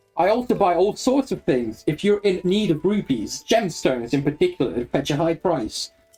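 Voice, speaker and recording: Someone uses a strained, put-on character voice at a moderate pace. Music plays in the background. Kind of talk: shopkeeper pitch.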